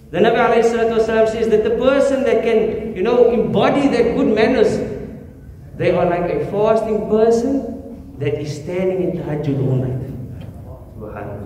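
A man with a high-pitched voice speaks using lively intonation. There is audible room echo and light background noise. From South Africa. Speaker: imam. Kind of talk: sermon. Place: church.

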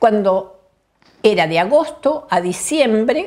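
A woman with a fairly high voice speaks at a very slow pace. Her pitch swings very widely against a quiet background. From Argentina, Bariloche (Patagonia); Argentina. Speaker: health statistician; interviewee. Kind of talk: oral history interview. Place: home room.

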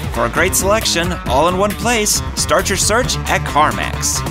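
With clear music playing behind him, a man talks fairly slowly. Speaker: voice actor. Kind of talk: commercial read. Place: booth. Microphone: studio mic.

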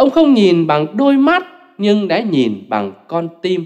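A man with a high pitch and a slightly mellow tone talks at a slow pace, his pitch swinging very widely.

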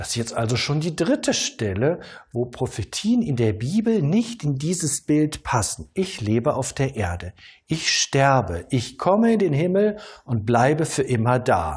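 A man with a calm tone and a somewhat breathy voice speaks at a fairly high pitch and a fairly slow pace, his pitch swinging very widely. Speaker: pastor. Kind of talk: sermon. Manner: calm, didactic, measured; rhetorical questions, earnest teaching tone. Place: studio. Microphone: lapel.

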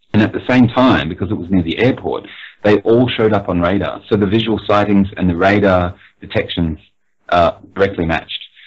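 Fairly even intonation and a fairly quick pace mark an unremarkable speaking voice. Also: man, fairly low pitch for a man. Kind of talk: interview answer, explaining UFO history.

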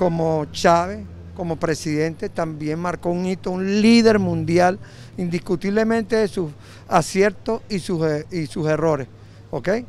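Against light background noise, in a dry sound with no echo, a man speaks at a high pitch and a fairly slow pace with ordinary pitch variation. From Venezuela. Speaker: citizen interviewed on the street. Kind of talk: street interview. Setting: outdoors on the street. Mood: earnest, patriotic. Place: street. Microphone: handheld.

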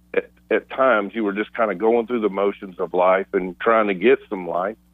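A man speaks at a moderate pace against a quiet background. The sound is dry, with no echo. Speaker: radio show co-host. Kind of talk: reflective talk-show commentary. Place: studio.

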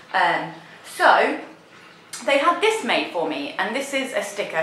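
A woman speaks fairly slowly in an English accent, her pitch swinging very widely. Audible room echo and noticeable background noise fill the recording. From England. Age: 30s. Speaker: beauty vlogger. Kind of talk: haul video monologue. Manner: animated.

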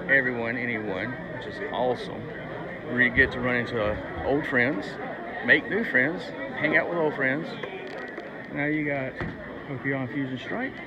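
Over crowd noise in the background, a man talks with ordinary pitch variation. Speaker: collector vlogger. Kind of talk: casual vlog chat. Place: hall. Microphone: earbuds.

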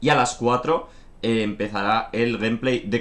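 This is a man speaking at a medium pitch. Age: 20s. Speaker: gaming streamer. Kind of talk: casual stream announcement. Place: home room.

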